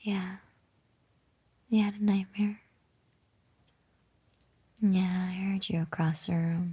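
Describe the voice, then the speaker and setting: Soft-spoken and somewhat breathy, a woman at medium pitch speaks very slowly in a soothing, dark, mellow tone, her intonation monotone and flat, with long, frequent pauses. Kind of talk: comforting roleplay talk to listener. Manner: soft-spoken, soothing.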